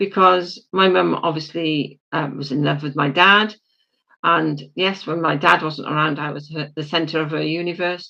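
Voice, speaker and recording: A woman's very deep, low voice with a bright, sharp tone, vocal fry, fairly even intonation and a moderate pace, in a British accent. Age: 70s. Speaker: spiritual leader. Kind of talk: interview about life story. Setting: podcast.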